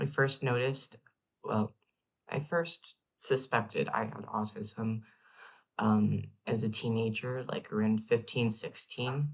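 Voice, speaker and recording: A man speaks at a very slow pace in a somewhat breathy voice. His medium pitch holds fairly even intonation. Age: 20s. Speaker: vlogger. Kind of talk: casual personal vlog. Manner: hesitant, many fillers.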